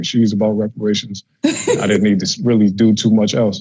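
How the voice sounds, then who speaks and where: At a fairly quick pace, a man talks in a fairly low pitch with a dark, mellow tone. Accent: American. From US Midwest. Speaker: interviewer. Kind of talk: interview. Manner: casual.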